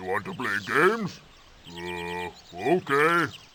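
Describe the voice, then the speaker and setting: A man puts on a character voice, pitched fairly low and delivered at a fairly slow pace. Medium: video game. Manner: menacing.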